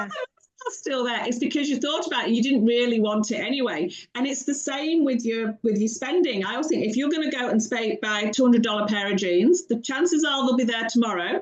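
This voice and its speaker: A British-accented woman at a high pitch, with lively intonation and a fairly quick pace. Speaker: financial coach. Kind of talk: podcast interview answer. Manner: witty, warm.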